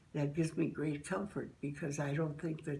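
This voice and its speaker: A woman with a very deep, low pitch and a dark, mellow tone speaks at a fairly quick pace, somewhat breathy and monotone, with flat intonation. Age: 80s+. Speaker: interviewee, member of an end-of-life choice group. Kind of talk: testimony. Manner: halting.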